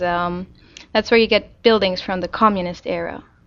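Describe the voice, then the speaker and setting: This is a woman speaking. She has a Czech accent. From Czech Republic, Prague. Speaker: interviewee. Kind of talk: casual interview. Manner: hesitant, frequent fillers.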